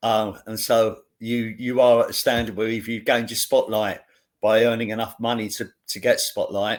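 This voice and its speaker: A man with a London accent speaks at a moderate pace in a medium pitch with flat, monotone intonation. The recording is very clean, with a silent background. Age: 50s. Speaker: actor. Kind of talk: casual chat. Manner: halting.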